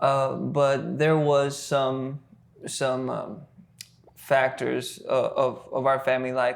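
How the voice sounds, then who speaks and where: Speaking with a South Texas accent, a man goes at a very slow pace. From US South, Texas (Rio Grande Valley). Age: 20s. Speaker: worship leader. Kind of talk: casual podcast interview, faith testimony. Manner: halting, many fillers and repetitions.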